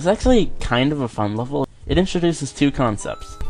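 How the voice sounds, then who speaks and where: The speaker goes at a fairly quick pace with music playing in the background. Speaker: let's play commentator. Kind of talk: game commentary. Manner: peppy.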